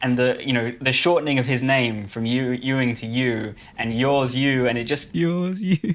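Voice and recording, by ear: Words are read aloud in a natural voice.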